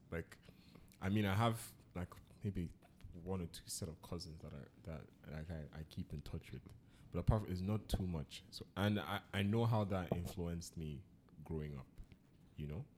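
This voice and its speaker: In a Nigerian accent, a man speaks at a moderate pace with long, frequent pauses. His pitch is very deep and low, with ordinary variation. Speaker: podcast host. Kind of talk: casual chat.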